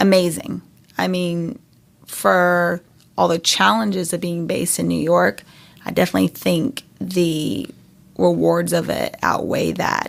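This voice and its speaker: In a very clean recording with a silent background, a woman speaks with a slight North Carolina accent. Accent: slight North Carolina Southern. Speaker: startup founder. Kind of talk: interview.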